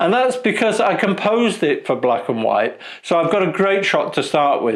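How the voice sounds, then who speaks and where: A man speaks with very even loudness. Noticeable background noise sits behind him. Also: moderate pace. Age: 60s. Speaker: photographer and video creator. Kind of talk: casual vlog talk to camera. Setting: studio.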